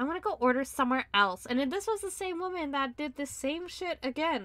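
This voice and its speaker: On a very clean recording with a silent background, a woman projects a raised, bright, sharp voice at a moderate pace with lively intonation. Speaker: podcast co-host. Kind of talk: casual chat. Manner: animated.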